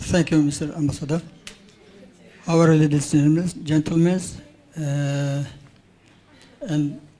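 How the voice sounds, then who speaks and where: Pausing long and often, a man speaks in a flat monotone while the room's echo is audible. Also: fairly high pitch for a man, fairly slow pace. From Tajikistan. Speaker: audience member asking a question. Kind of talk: public comment at conference. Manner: halting.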